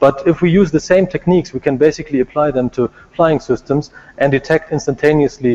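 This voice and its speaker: A man's fairly high voice at a very fast pace, with ordinary pitch variation and a dry, close sound with no echo. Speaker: robotics researcher. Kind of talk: conference talk.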